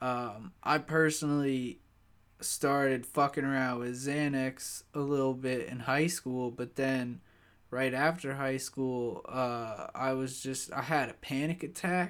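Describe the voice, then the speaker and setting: Very slow male speech at a medium pitch with fairly even intonation. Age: 20s. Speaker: solo podcaster. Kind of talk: casual monologue.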